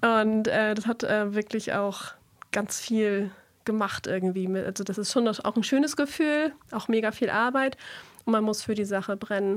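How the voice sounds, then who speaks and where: In a very clean recording with a silent background, a woman with a fairly high pitch talks at a fairly slow pace in a normal speaking voice with ordinary pitch variation. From northern Schleswig-Holstein, Germany. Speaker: singer-songwriter. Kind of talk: radio interview. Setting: radio studio.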